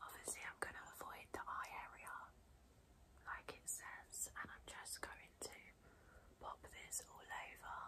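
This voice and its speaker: Whispering in a calm tone at a fairly slow pace, with long, frequent pauses. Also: woman. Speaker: beauty blogger / YouTuber. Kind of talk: ASMR unboxing and pamper video, soft-spoken talk to camera. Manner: soft-spoken, calm, relaxing, whispery. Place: home room.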